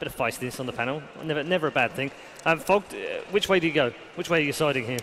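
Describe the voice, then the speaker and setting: A man at a very fast pace with long, frequent pauses, ordinary pitch variation and light background noise. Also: fairly high pitch for a man. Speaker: esports desk host. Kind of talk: casual banter leading into a panel. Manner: amused, upbeat, laughing. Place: stage. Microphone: headset.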